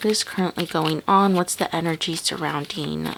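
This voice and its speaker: Her delivery is fairly slow. Background noise can be clearly heard throughout. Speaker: tarot reader. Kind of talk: tarot reading.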